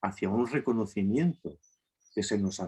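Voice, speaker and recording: Here a man speaks with fairly low pitch. His intonation is lively. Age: 60s. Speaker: therapist, lecturer. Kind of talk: lecture. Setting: video call.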